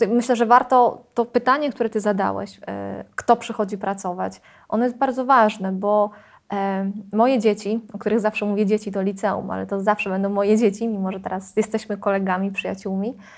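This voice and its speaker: This is a woman with an unremarkable speaking voice at medium pitch. She talks fairly quickly with fairly even intonation on a very clean recording with a silent background. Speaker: secondary school Polish teacher. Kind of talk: interview.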